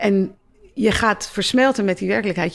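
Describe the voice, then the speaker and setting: On a very clean recording with a silent background, a woman speaks at a moderate pace and medium pitch with vocal fry. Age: 50s. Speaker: doctor and psychologist. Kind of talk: interview. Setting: stage with audience.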